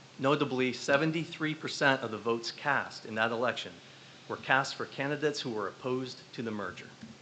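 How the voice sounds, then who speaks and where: Against noticeable background noise, a man talks at a fairly quick pace in an American accent, with a medium pitch and ordinary pitch variation. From northwestern Pennsylvania. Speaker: parent and community member. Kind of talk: public comment at a school board meeting. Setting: school board meeting room. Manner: fast.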